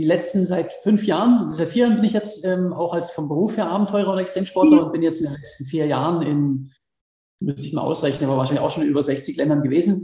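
A man talks at a very fast pace in a high pitch. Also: ordinary pitch variation. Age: 30s. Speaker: extreme athlete and adventurer. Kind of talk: interview. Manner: hesitant, many fillers.

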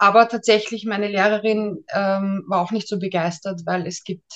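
Using an ordinary speaking voice, a woman talks at a moderate pace with medium pitch and fairly even intonation. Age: 30s. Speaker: ghostwriter and mental trainer. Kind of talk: interview.

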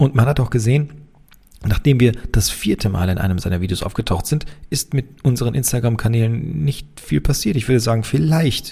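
A man talks at a moderate pace and medium pitch. His tone is dark and mellow, and somewhat breathy. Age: 30s. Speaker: engineer and company founder. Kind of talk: casual Q&A monologue.

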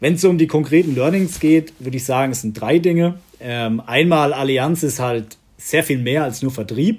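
Heard in a very clean recording with a silent background, a man with an unremarkable speaking voice talks at a moderate pace, with lively intonation and big swings in loudness. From Southern Palatinate, Germany. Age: 30s. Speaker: executive assistant at an insurer. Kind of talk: interview.

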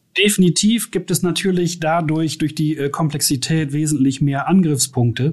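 A man with an unremarkable speaking voice talks with ordinary pitch variation and hardly any pauses. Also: fairly high pitch for a man, moderate pace. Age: 50s. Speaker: IT infrastructure and security manager. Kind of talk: interview.

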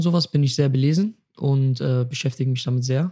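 A man's fairly high, somewhat breathy voice with a dark, mellow tone, fairly even intonation and a very fast pace. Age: 20s. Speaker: athlete and youtuber, interview guest. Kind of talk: casual chat.

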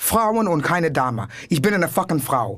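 Energetic in tone, a woman speaks at a moderate pace with very wide pitch swings. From New York City. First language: English (speaking German). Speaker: comedian. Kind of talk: casual chat.

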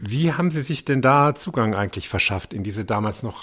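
With lively intonation and a somewhat breathy sound, a man talks at a moderate pace. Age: 50s. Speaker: podcast host and journalist. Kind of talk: casual interview.

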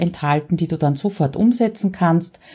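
A somewhat breathy woman with a dark, mellow tone and an Austrian accent, on a very clean recording with a silent background. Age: 50s. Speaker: podcaster. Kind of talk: solo podcast monologue.

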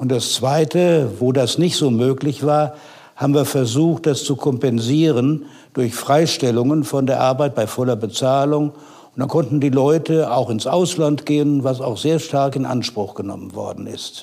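Fairly high in pitch for a man, this dark, mellow voice moves with ordinary pitch variation. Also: fairly slow pace. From Westphalia, Germany. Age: 70s. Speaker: retired economics professor. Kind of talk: interview.

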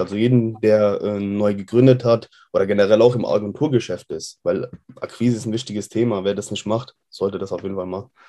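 Over a quiet background, a man speaks fairly quickly with fairly even intonation and a fairly low, dark, mellow voice. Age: 20s. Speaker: web design agency owner. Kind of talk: interview. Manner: hesitant, many fillers.

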